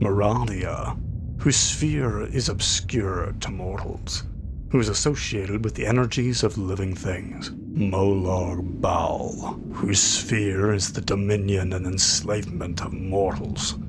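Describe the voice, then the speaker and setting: Amid noticeable background noise, a man with a fairly low pitch speaks at a very slow pace with ordinary pitch variation. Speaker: audiobook narrator. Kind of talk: fantasy audiobook reading of in-game book.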